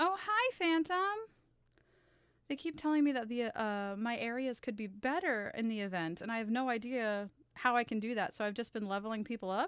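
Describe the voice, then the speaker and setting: A woman speaks in a fairly high pitch with lively intonation. Her voice sounds nervous and shaky. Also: moderate pace, very clean recording, silent background. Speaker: streamer and artist. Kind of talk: casual live stream chat. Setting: live stream with camera. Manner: shaky, nervous; halting.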